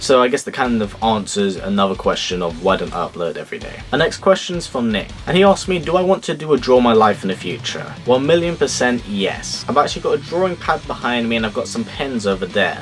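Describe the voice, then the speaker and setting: With a British accent, the speaker races at a very fast pace with hardly any pauses and very wide pitch swings. Music plays in the background. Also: man, medium pitch for a man. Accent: British, sometimes mistaken for Australian. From UK. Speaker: YouTuber. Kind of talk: casual Q&A. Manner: casual, with filler words.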